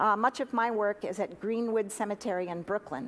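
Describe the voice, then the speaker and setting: This woman's voice sits at a medium pitch with ordinary pitch variation. She talks at a moderate pace. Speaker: funeral director; guest. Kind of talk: talk to an audience. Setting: church forum with audience and live stream.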